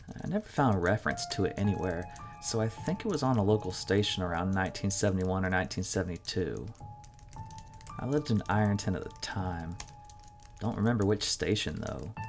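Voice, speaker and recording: Lively intonation from a man with a very deep, low pitch, set against music in the background. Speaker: narrator. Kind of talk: horror story narration.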